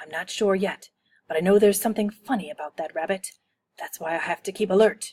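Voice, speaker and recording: A woman performs a put-on character voice at medium pitch. She talks at a very fast pace. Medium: read story. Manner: grumpy, self-important.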